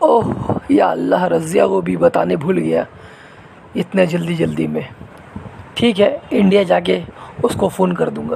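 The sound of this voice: Faint background noise underlies a man's cartoonish character voice, high in pitch with ordinary variation, fairly slow, with vocal fry and a dark, mellow tone.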